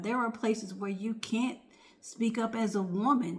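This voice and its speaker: Somewhat breathy speech moves at a moderate pace with ordinary pitch variation, and audible room echo surrounds it. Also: woman. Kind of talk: casual vlog talk. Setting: home at night, others asleep. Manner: soft-spoken, near whisper.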